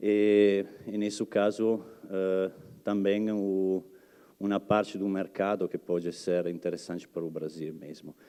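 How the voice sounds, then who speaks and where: The background is quiet as a man speaks at a fairly slow pace. His voice is fairly low with a dark, mellow tone and fairly even intonation. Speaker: research and development manager, guest speaker. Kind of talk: lecture. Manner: halting, many fillers.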